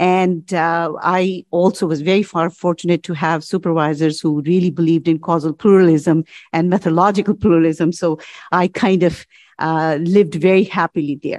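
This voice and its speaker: A woman's fairly low, monotone, flat voice at a moderate pace against a quiet background. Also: dry, close sound with no echo. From India. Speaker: retired political science professor. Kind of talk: panel discussion. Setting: conference room with audience.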